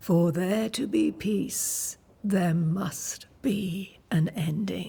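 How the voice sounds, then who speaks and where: At a very slow pace, a female-sounding voice performs a put-on character voice. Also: medium pitch for a woman. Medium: video game. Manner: cryptic, measured.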